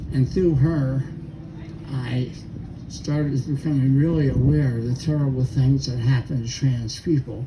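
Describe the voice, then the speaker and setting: A man talks at a moderate pace with fairly even intonation. Noticeable background noise runs under the recording. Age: 80s+. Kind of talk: memorial speech.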